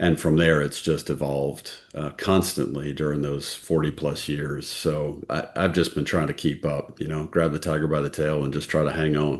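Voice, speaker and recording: With hardly any pauses, a man speaks at a moderate pace in a monotone, flat voice of very deep, low pitch. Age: 60s. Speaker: healthcare executive. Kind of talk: casual interview.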